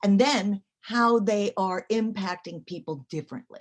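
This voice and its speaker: A woman's medium-pitched voice carries vocal fry throughout. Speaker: academic lecturer. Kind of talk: lecture. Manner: fast.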